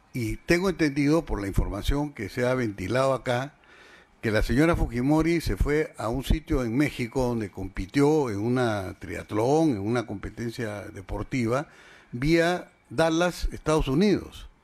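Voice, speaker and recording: A man's medium-pitched voice with lively intonation at a fairly slow pace, on a very clean recording with a silent background. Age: 60s. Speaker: defendant in court hearing. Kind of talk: court testimony. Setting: courtroom hearing. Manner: formal; halting.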